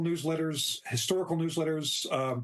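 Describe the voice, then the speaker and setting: A man's fairly high voice at a moderate pace, a normal speaking voice. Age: 60s. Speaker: novelist. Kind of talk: interview.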